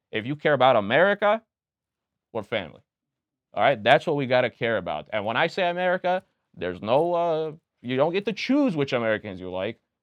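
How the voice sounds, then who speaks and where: In a slight Romanian accent, a man speaks fairly quickly and in an animated tone at a fairly high pitch, with very wide pitch swings and long, frequent pauses. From Pennsylvania, USA (Reading) with early childhood in Romania. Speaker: political candidate and restaurant owner. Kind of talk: casual podcast interview.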